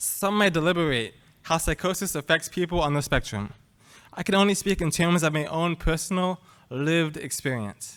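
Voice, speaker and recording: A man's high-pitched voice at a moderate pace with ordinary pitch variation, in a very clean recording with a silent background. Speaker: student panelist. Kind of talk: prepared personal testimony. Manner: soft-spoken.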